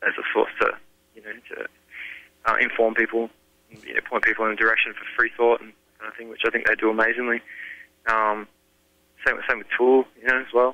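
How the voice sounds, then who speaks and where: In an Australian accent, a man of medium pitch talks at a fairly quick pace in a monotone, flat intonation, with long, frequent pauses and big swings in loudness. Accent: thick Australian. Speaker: rock band singer. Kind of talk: interview. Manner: casual.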